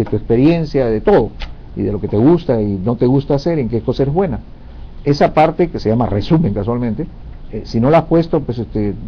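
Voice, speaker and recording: A man's normal speaking voice at medium pitch, fairly quick, with lively intonation. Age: 60s. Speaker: career advisor. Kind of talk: interview Q&A advice.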